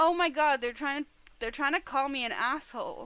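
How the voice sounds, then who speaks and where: This woman's voice is bright, sharp and animated, pitched high. She speaks at a moderate pace in a raised, projected voice. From Ireland. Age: 20s. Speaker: streamer. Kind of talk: casual live-stream chat.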